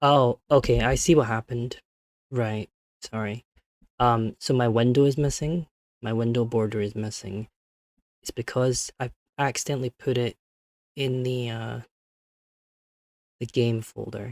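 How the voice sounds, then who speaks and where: A man at a medium pitch and a fairly slow pace, with fairly even intonation and long, frequent pauses, in a dry, close sound with no echo. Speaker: vtuber streamer. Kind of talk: live stream chat. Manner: soft-spoken; halting.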